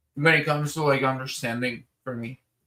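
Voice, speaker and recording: Bright and sharp in tone, a man speaks at a fairly high pitch and moderate pace with lively intonation. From Spanish-speaking country. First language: Spanish. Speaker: streamer. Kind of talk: casual chat.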